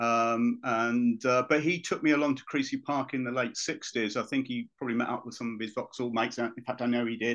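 A man with a southern English accent, medium pitch and monotone, flat intonation, at a fairly quick pace against a quiet background. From Luton, England. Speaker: former football club official. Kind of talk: casual chat. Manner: halting.

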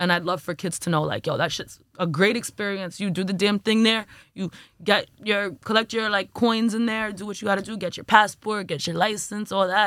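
A woman with a New York accent talks at a fairly quick pace, at a medium pitch. Her intonation is fairly even, and the recording is very clean with a silent background. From Brooklyn, New York (Flatbush). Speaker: music artist and content creator. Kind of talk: casual chat.

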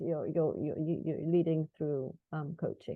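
Moving at a moderate pace, a woman with a fairly low pitch speaks in an unremarkable speaking voice. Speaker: podcast host. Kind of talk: casual interview chat. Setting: video call.

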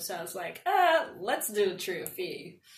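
A woman speaks in a somewhat breathy voice. The room adds an audible echo. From Nigeria, moved to Evanston, Illinois at 14. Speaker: engineering student. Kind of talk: casual interview.

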